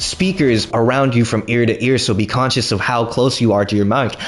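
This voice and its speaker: Noticeable background noise sits behind a man who speaks at a moderate pace. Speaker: stand-up comedian. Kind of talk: storytime while gaming. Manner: animated, expressive.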